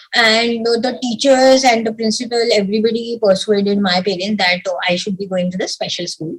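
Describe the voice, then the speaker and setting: The delivery is fairly quick, with hardly any pauses. The voice is somewhat breathy, with ordinary pitch variation. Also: woman, fairly high pitch for a woman. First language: Marathi. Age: young. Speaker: civil servant. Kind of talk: interview. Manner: halting.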